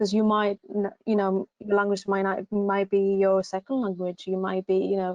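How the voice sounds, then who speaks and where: Speaking with a Greek accent, a woman uses a medium pitch and a dark, mellow tone. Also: dry, close sound with no echo. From Greece. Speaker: university recruitment assistant. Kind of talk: online advice session. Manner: hesitant, many fillers.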